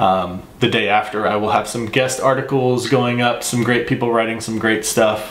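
Audible room echo surrounds a man with an American accent who speaks at a moderate pace with fairly even intonation. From Texas. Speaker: baseball podcaster and world history teacher. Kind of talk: casual solo sports vlog. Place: home room.

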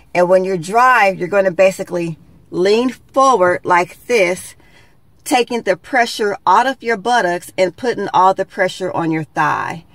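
Over a quiet background, a woman talks at a fairly slow pace with ordinary pitch variation, the sound dry with no echo. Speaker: beauty vlogger. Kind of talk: tutorial. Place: car. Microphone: phone near.

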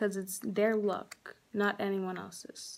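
Speaking at a very slow pace, a woman is heard. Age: young. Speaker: cosmetology student. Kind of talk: scholarship application video talk to camera. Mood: earnest, heartfelt. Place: home room. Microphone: phone near.

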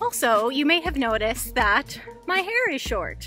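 A woman speaks in a high voice. Clear music plays in the background. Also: dry sound with no echo. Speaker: travel vlogger. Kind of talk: casual vlog chat. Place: street. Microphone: phone near.

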